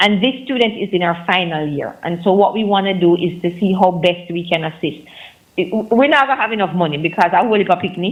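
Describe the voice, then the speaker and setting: A woman with a Jamaican accent at a fairly quick pace. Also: medium pitch for a woman, ordinary pitch variation. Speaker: nonprofit foundation representative. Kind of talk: radio interview. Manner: fast.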